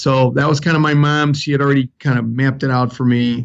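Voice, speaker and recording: A man with a Chicago accent speaks with fairly even intonation. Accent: Chicago South Side. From Chicago South Side, US Midwest. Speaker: fire chief. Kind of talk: interview.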